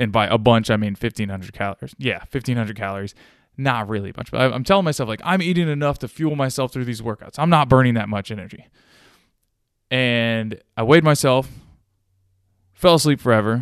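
Against a quiet background, a man talks at a very fast pace yet leaves long, frequent pauses, his medium pitch moving with ordinary variation. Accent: Midwestern American. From Ohio, US Midwest. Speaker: gym owner and CrossFit coach. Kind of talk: solo podcast monologue. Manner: casual, conversational.

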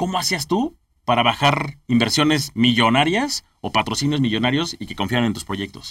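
This man's medium-pitched voice moves at a moderate pace with lively intonation. His loudness swings widely. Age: 30s. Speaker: podcast host, entrepreneur. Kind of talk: interview chat. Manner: halting, repeats words.

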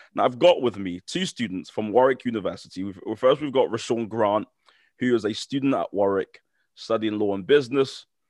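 This man speaks at a fairly quick pace with a British accent, at a medium pitch with ordinary variation. The sound is dry and close with no echo, over a quiet background. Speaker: podcast host. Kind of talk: casual interview.

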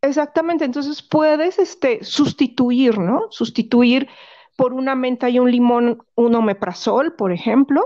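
A woman with a Mexican accent speaks at a fairly slow pace in a high pitch, her tone dark and mellow and her intonation lively. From Mexico, Guanajuato. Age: 40s. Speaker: essential oils seller and massage therapist. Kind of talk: casual interview.

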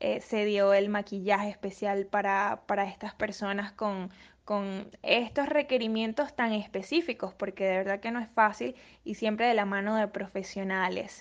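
A woman's normal speaking voice at a fairly slow pace with ordinary pitch variation against a quiet background. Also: medium pitch for a woman. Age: 20s. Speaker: model and student presenter. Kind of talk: interview.

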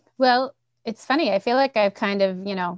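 Fairly quick and with ordinary pitch variation, a woman speaks in a dry, close sound with no echo over a quiet background. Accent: slight Boston. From Central Massachusetts. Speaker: school administrator, former principal. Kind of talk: casual interview.

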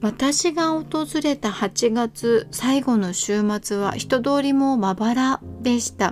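A woman with a fairly high pitch and a warm tone speaks at a very slow pace. She leaves hardly any pauses. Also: lively intonation. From Japan, Kanazawa (Ishikawa). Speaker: podcast host. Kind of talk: solo podcast narration. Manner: warm, friendly.

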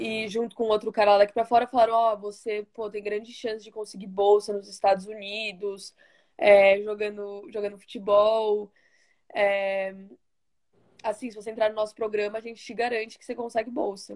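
Her loudness swings widely while a woman with a fairly high pitch talks at a moderate pace in a flat monotone. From Brazil, São Paulo (Osasco). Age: 20s. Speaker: college soccer player. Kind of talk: interview.

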